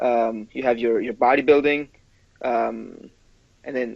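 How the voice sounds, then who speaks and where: A man with a Spanish accent speaks in a monotone, flat intonation. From Ecuador. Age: 20s. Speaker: personal trainer, amateur physique competitor. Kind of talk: interview answer.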